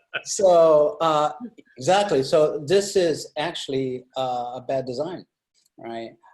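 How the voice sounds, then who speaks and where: This man talks very slowly, with a fairly high pitch and a non-native accent. His pitch varies in an ordinary way, but his loudness swings widely. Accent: foreign. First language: not English. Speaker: UX designer. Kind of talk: panel discussion. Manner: halting, many fillers.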